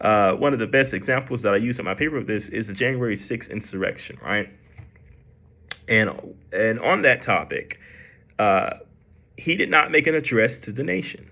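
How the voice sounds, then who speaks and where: With a bright, sharp tone, a man speaks at a medium pitch and a moderate pace, with ordinary pitch variation and long, frequent pauses. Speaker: student. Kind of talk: class presentation. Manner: halting, with many fillers.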